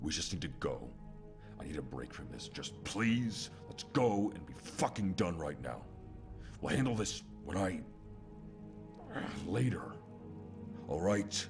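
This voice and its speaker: A man's put-on character voice, very deep and low, over clear music in the background. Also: fairly slow pace. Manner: angry, irritated.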